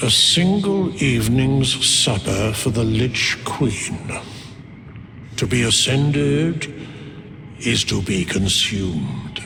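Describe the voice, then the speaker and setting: A man's put-on character voice at medium pitch, very slow, with long, frequent pauses and clear background noise. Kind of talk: archaic formal speech. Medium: video game. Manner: slow, grave.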